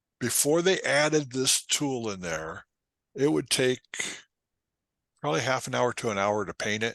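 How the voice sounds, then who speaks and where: A man with a medium pitch and very wide pitch swings speaks at a moderate pace, leaving long, frequent pauses, in a dry, close sound with no echo against a quiet background. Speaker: photography instructor. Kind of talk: tutorial. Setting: talk to a photo club.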